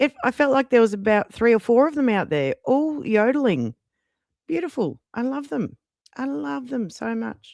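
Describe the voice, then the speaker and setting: Someone with an Australian accent speaks at a moderate pace against a quiet background. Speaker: YouTube livestreamer and AI music creator. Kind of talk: casual livestream chat.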